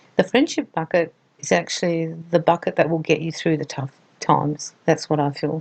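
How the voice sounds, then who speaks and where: In an Australian accent, a woman speaks at a moderate pace with a fairly low pitch, in a dry, close sound with no echo. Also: fairly even intonation. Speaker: relationship advice presenter. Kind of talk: advice talk to camera.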